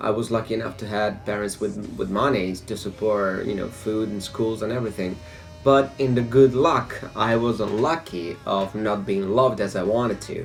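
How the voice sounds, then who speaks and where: Music plays in the background as a man talks at a moderate pace and fairly low pitch with ordinary pitch variation. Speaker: vlogger. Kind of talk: personal testimony. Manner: halting.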